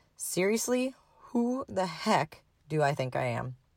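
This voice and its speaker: In an Upper Midwest accent, a woman's pitch swings very widely, in a dry, close sound with no echo. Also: very clean recording, silent background. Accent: Upper Midwest (Minnesota). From Minnesota. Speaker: podcast host and horse owner. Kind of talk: personal story monologue.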